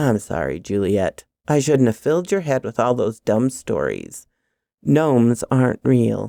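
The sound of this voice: A woman's put-on character voice with an extremely low pitch, big pitch swings, vocal fry and a dark, mellow tone at a fairly slow pace, with a dry, close sound with no echo on a very clean recording with a silent background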